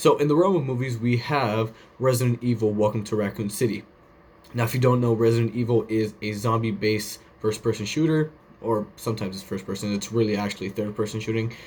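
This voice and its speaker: In a somewhat breathy voice, a man at medium pitch talks at a very fast pace with fairly even intonation. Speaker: podcast host. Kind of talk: casual commentary show.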